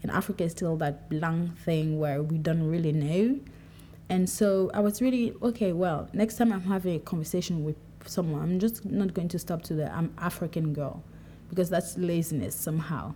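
Somewhat breathy and fairly low in pitch, a woman speaks at a moderate pace with a dark, mellow tone and ordinary pitch variation. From Cameroon, Douala. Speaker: podcaster. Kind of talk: solo monologue. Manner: casual, conversational.

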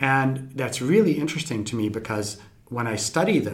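Audible room echo surrounds the recording. A man speaks in a somewhat breathy way. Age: 50s. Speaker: scientist. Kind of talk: interview.

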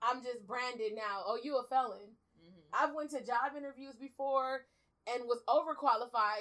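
Her voice is high for a woman, set at a moderate pace, with big swings in loudness. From South Central Los Angeles, born in Belize. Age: 30s. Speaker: formerly incarcerated advocate. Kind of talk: interview.

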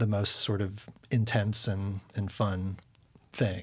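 In an American accent, the speaker talks at a fairly slow pace with monotone, flat intonation on a very clean recording with a silent background. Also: man. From Houston area, Texas. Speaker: stage actor and director. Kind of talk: casual interview. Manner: hesitant, many fillers.

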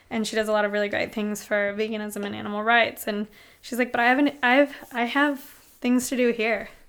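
At a fairly quick pace, a woman talks in a fairly high pitch. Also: fairly even intonation. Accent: American. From US Pacific Northwest, Seattle. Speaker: restaurant owner. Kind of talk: casual chat. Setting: host's home.

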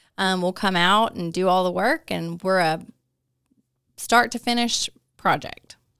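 A woman speaks with a Southern US accent. The recording is very clean, with a silent background. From north Alabama (Hartselle). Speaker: small business manager. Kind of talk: interview.

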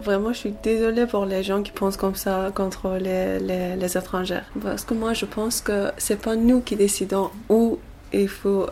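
A woman with an Iranian accent, medium pitch, fairly slow pace and fairly even intonation, over noticeable background noise. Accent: Iranian (Persian) accent in French. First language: Persian (speaking French). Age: 20s. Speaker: asylum seeker. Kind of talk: interview. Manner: halting, hesitant.

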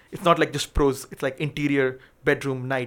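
In a very clean recording with a silent background, a man with a fairly high pitch talks at a very fast pace in a monotone, flat intonation. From Pakistan. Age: 20s. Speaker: filmmaker. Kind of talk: casual chat.

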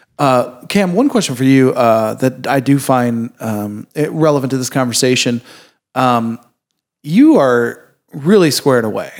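A man speaks at a fairly slow pace in an unremarkable speaking voice, medium in pitch. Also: ordinary pitch variation. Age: 30s. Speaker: podcast host. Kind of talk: casual interview.

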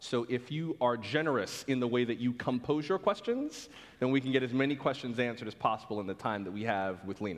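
The speech runs at a very fast pace with ordinary pitch variation over a quiet background. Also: man, medium pitch for a man. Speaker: radio host and moderator. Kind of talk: onstage interview. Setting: stage with audience.

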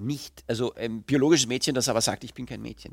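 The man's voice has a bright, sharp tone. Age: 40s. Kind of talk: interview.

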